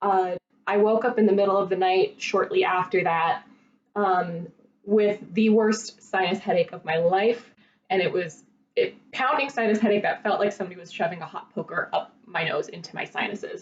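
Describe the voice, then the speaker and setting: A woman at medium pitch with a normal speaking voice, moderate pace, ordinary pitch variation and big swings in loudness. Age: 30s. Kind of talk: casual talk to camera.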